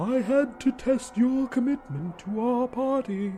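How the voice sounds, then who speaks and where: A put-on character voice with a fairly high pitch and fairly slow pace, amid clear background noise. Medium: read story. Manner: smug, composed, invasive.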